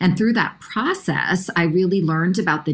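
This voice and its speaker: This woman speaks with an American accent. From New York. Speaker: nonprofit CEO. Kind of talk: interview.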